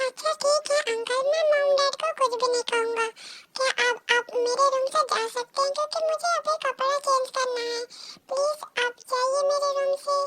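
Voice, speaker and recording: Using a put-on character voice, a woman speaks at a moderate pace. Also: dry, close sound with no echo. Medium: read story. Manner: polite, flustered.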